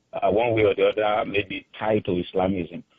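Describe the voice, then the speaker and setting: A man speaks with a Nigerian accent. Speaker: caller. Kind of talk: radio call-in. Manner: halting, many fillers.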